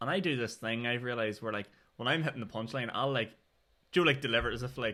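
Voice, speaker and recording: A man with a Northern Irish accent at a very fast pace, with ordinary pitch variation. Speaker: podcast host and stand-up comedian. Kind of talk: casual chat.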